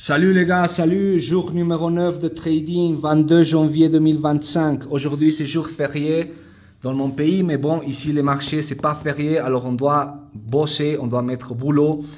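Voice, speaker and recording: With a non-native accent, the speaker talks at a fairly slow pace with fairly even intonation. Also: man, fairly high pitch for a man. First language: not French (speaking French). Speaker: day trader vlogger. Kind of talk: casual video diary. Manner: halting, with repetitions.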